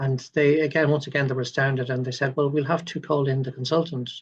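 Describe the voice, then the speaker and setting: Speaking very fast with an Irish accent, a man with a fairly high pitch sounds somewhat breathy, his intonation monotone and flat. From Ireland. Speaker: doctor. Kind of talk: interview. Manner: halting, many fillers and repeats.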